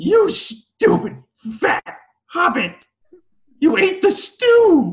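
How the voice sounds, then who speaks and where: Using a put-on character voice at an extremely high pitch, a man speaks at a very slow pace with long, frequent pauses. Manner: hissing, accusatory.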